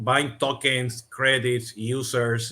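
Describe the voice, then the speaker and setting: A man speaks with a Latin American accent. His tone is bright and sharp, his pitch medium. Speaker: podcast host, CRM consultant. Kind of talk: interview. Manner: many fillers, halting.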